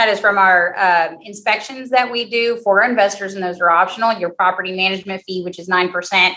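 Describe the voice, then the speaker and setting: Spoken with a strong Southern US accent, the voice has a bright, sharp tone, a fairly quick pace, fairly even intonation and hardly any pauses. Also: woman, medium pitch for a woman. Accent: heavy southern. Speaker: real estate company executive. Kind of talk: interview answer.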